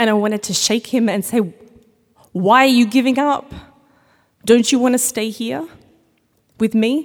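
With an Australian accent, a woman speaks at a fairly high pitch and moderate pace, showing ordinary pitch variation and long, frequent pauses. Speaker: storyteller. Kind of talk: live storytelling. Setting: stage with audience.

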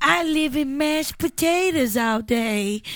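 Mumbling at a fairly slow pace, a female-sounding voice uses a high-pitched put-on character voice.

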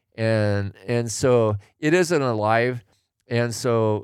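Heard in a very clean recording with a silent background, a man with a General American accent and a plain, everyday voice speaks at a fairly low pitch with fairly even intonation. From Oregon, US Pacific Northwest. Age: 60s. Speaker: retired tradesman, host's father. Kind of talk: casual chat.

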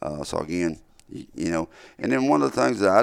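In a very clean recording with a silent background, a man speaks with a very deep, low pitch and a Southern US accent. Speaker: turkey hunter and call maker. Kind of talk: casual chat. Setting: studio. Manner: halting.

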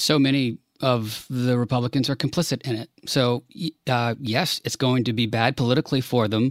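A man with an American accent and an ordinary speaking voice talks at a fairly quick pace, his pitch medium. His intonation is fairly even, on a very clean recording with a silent background. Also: dry, close sound with no echo. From Washington DC. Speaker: podcast co-host. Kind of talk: casual chat.

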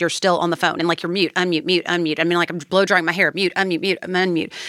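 A woman speaks in a fairly low, bright and sharp voice with fairly even intonation, recorded very cleanly against a silent background with a dry, close sound and no echo. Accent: Kentucky. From Kentucky. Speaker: political advocate for criminal justice reform. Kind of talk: interview.

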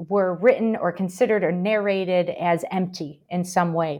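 A woman with an American accent, medium in pitch, with fairly even intonation. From Michigan, US. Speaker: university professor and historian. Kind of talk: casual interview about a book. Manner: hesitant, many fillers.

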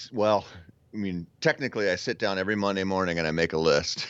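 Very fast delivery with ordinary pitch variation. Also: man. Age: 30s. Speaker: hunting podcaster and author. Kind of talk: casual interview chat.

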